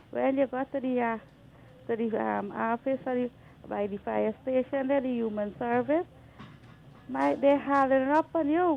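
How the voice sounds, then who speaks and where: The speaker uses a Guyanese accent and a moderate pace, with ordinary pitch variation and long, frequent pauses. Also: woman, high pitch for a woman. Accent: Guyanese Creole-inflected. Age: 60s. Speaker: caller. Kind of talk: radio call-in complaint. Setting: phone call.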